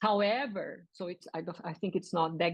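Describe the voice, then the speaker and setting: A woman talks fairly quickly with a Portuguese accent, her pitch fairly low for a woman. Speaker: linguistics professor. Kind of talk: lecture. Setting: video call. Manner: halting.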